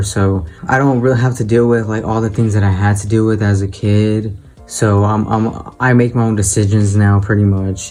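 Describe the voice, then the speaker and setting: Audible room echo surrounds a man's fairly low voice. His intonation stays fairly even. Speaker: YouTuber talking about his transition. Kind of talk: casual personal vlog talk. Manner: casual, filler-heavy speech.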